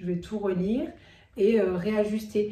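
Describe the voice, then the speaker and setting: Audible room echo surrounds a woman's fairly high-pitched voice. She speaks at a fairly slow pace with fairly even intonation. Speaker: video creator. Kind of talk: tutorial. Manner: hesitant fillers.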